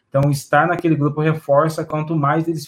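Breathing somewhat into his words, a man speaks with a fairly high pitch and monotone, flat intonation. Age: 30s. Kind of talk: casual discussion.

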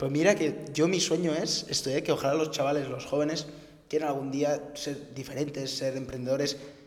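With audible room echo and noticeable background noise, a man with a fairly high pitch talks at a moderate pace in a monotone, flat way. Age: 20s. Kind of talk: casual interview. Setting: rented office.

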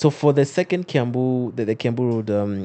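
With a dark, mellow tone, a man talks at a fairly quick pace using lively intonation. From Kenya. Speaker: podcast host. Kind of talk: casual interview.

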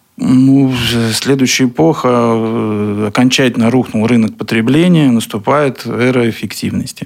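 A man with an ordinary speaking voice speaks at a fairly slow pace and medium pitch. His loudness stays very even, with ordinary pitch variation. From Russia, Kaliningrad. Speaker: business owner. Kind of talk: radio interview. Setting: studio.

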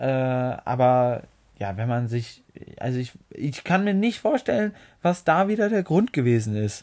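On a very clean recording with a silent background, a man with a relaxed tone and medium pitch speaks at a fairly slow pace, his pitch swinging very widely. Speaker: podcast co-host. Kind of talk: casual chat.

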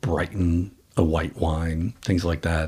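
With an American accent, a man speaks at a very slow pace in a very deep, low pitch, somewhat breathy and with monotone, flat intonation. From Boston. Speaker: wine company co-founder. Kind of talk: casual interview. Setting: at his home, remote recording.

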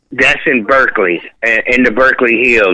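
With an American accent, a man is speaking. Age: 50s. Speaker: music producer. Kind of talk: casual chat. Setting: phone call.

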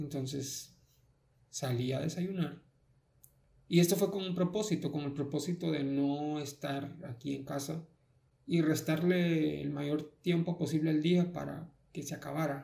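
A man talks at a fairly slow pace with fairly even intonation. His tone is dark and mellow, and somewhat breathy. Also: fairly high pitch for a man. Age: 20s. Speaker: podcast host. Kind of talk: personal monologue. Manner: halting.

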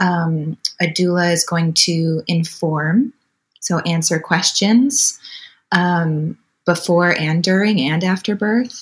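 Speaking very slowly, a woman with an American accent has a fairly low pitch and ordinary pitch variation. Her voice is somewhat breathy. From Wisconsin, US. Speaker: birth doula. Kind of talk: interview.

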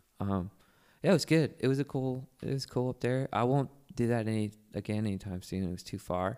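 A man with an American accent talks at a fairly quick pace in a medium pitch, with ordinary pitch variation. It is a plain, everyday voice, on a very clean recording with a silent background. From Virginia (Manassas). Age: 40s. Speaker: singer and musician. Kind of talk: casual chat. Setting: studio.

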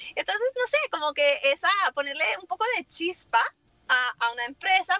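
A woman's raised, projected voice with a bright, sharp tone at a fairly slow pace, dry and close with no echo. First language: English (speaking Spanish). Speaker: lumber importer, business owner. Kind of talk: casual interview.

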